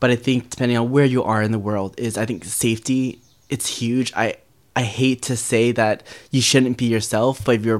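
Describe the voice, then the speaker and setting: In an unremarkable speaking voice, a man talks at a moderate pace with medium pitch. His intonation is fairly even. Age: 20s. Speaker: guest sharing coming out story. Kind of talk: personal storytelling interview.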